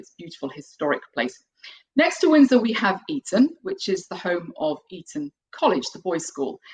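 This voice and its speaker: A woman with a British accent, fairly quick, her pitch swinging very widely, in a dry, close sound with no echo. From UK. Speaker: piano teacher and composer. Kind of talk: online webinar presentation. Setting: video webinar.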